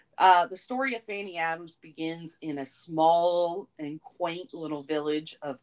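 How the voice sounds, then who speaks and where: A woman talks with an American accent at a fairly low pitch. Her pitch variation is ordinary. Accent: southern US, toned down on the show. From US South. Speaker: podcast co-host. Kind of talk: casual chat with true crime narration.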